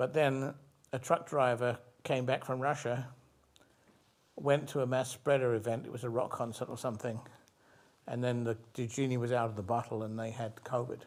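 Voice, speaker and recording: A man speaks at a moderate pace with a medium pitch and fairly even intonation, leaving long, frequent pauses, on a very clean recording with a silent background. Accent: British. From England, London. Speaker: physician scientist. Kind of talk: interview. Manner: halting, with many repeated words.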